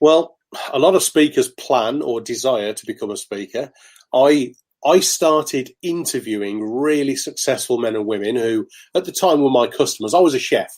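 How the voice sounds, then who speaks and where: On a very clean recording with a silent background, a man with a Birmingham accent speaks with a fairly high pitch and lively intonation. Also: moderate pace. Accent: Brummie. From Birmingham, England. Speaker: motivational speaker. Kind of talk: interview.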